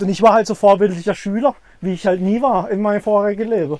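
Speaking at a very fast pace, a man with a high pitch for a man has a dark, mellow tone and ordinary pitch variation. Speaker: podcast co-host. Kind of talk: casual chat while walking a dog. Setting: outdoors, walking a dog.

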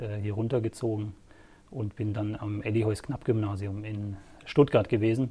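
At a fairly slow speed, the speech comes out somewhat breathy. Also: man. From northern Germany, rural Lower Saxony between Hamburg and Bremen. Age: 40s. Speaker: local sports journalist. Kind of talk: casual interview.

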